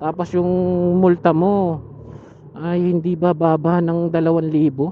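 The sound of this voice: A man speaks at a fairly slow pace in a fairly high voice. His pitch barely moves.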